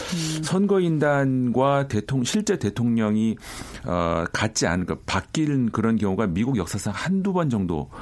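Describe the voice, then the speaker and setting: This man's voice sits at a medium pitch and leaps through very wide pitch swings. His loudness stays very even, with noticeable noise behind him. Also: fairly slow pace. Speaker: journalist or analyst guest. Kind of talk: news analysis discussion.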